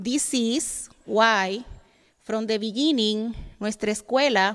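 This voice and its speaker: A woman with a Dominican accent speaks very slowly at a fairly high pitch with ordinary variation. The recording is very clean, with a silent background. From Dominican Republic. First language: Spanish. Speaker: educator. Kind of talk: reading aloud.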